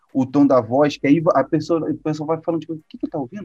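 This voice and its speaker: A man talks at a fairly quick pace with a dark, mellow tone and fairly even intonation. His pitch sits fairly high. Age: 30s. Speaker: presentation design instructor. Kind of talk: casual interview.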